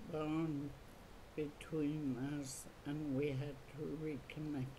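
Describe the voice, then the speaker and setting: Very slow and full of long, frequent pauses, a woman's very deep, low voice with a dark, mellow tone comes across somewhat breathy and monotone, flat in intonation, with audible room echo. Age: 70s. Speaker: residential school survivor. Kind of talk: oral history interview.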